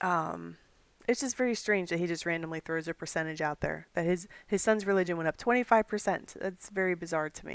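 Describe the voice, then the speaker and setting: A woman with a normal speaking voice and a fairly low pitch talks at a fairly quick pace with ordinary pitch variation, in a very clean recording with a silent background and a dry, close sound with no echo. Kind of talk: commentary monologue.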